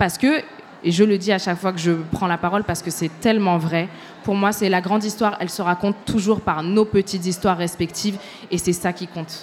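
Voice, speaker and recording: With music in the background, a woman at medium pitch speaks fairly quickly with fairly even intonation. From Tunisia, raised in France. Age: 20s. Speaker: journalist and podcaster. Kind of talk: panel discussion before live audience. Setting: stage with audience.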